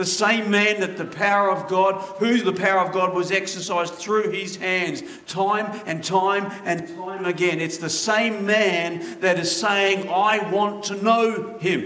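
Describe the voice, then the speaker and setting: Over noticeable background noise and audible room echo, a raised, projected voice speaks at a fairly slow pace with fairly even intonation. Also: man, high pitch for a man. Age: 50s. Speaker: pastor. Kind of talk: sermon.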